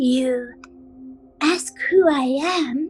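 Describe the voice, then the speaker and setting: A woman speaks in a put-on character voice with a high pitch, with faint music playing in the background. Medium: audio drama. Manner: slow, quiet and eerie.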